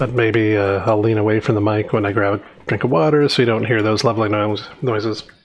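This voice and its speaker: A man's mumbling at a fairly low pitch, very fast and at a very even loudness. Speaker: software developer live streamer. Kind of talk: live coding stream.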